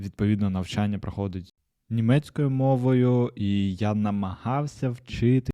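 This man's dark, mellow voice sits fairly low, with ordinary pitch variation. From Ukraine. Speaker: podcast host. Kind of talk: solo podcast monologue.

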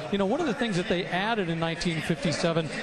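The pitch moves with ordinary variation. Background noise is noticeable. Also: man. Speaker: car auction commentator. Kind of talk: live commentary. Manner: knowledgeable, conversational with fillers.

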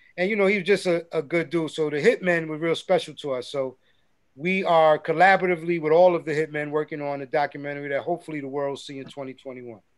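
Against a quiet background, a man with a New York accent talks at a very fast pace, his fairly high pitch held to fairly even intonation. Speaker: hip hop producer; guest. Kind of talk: casual interview. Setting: video call. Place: studio.

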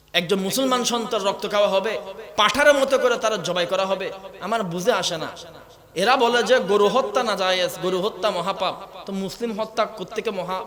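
With ordinary pitch variation, a man speaks in a high voice through audible room echo and noticeable background noise. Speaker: Islamic preacher. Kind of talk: sermon. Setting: stage with audience. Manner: loud, impassioned.

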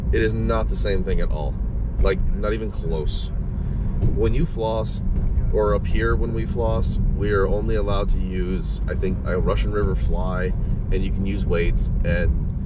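Loud background noise accompanies a fairly slow pace in a dry sound with no echo. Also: man. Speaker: fishing vlogger. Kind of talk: casual vlog chat. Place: car. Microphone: phone near.

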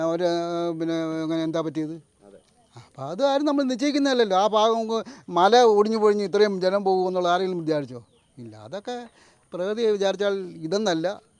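A man speaks at a high pitch with lively intonation. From Kerala, Kollam district. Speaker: local resident. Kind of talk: casual interview.

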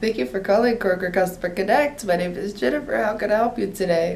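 Doing a put-on character voice, a woman speaks very fast in a raspy, medium-pitched tone against clear background noise. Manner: fake-cheerful. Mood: smiling, joking.

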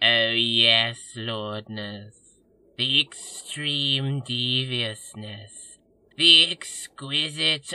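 Against a quiet background, a man does a put-on character voice at medium pitch and a very slow pace. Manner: obsequious, gushing, over-excited.

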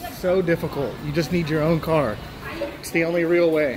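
A man's high-pitched voice at a fairly quick pace, with crowd noise behind it. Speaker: travel vlogger. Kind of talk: casual vlog chat. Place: station. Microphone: phone near.

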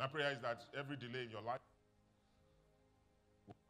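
Faint music plays in the background as a man talks at a very fast pace. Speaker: pastor. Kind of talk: sermon. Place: church.

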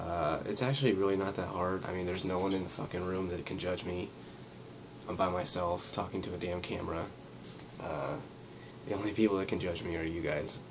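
With long, frequent pauses, a man talks at a fairly quick pace in a very deep, low pitch with fairly even intonation over noticeable background noise. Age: 20s. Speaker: vlogger. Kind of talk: casual vlog monologue. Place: home room. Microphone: webcam.

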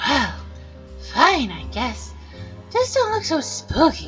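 Someone puts on a character voice at a fairly slow pace while clear music plays in the background. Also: female-sounding voice. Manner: cranky, grumpy.

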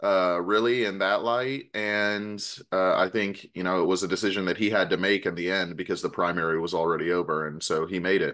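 A man's very deep, low voice at a fairly quick pace, with fairly even intonation over a quiet background. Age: 30s. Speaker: city council member. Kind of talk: radio interview.

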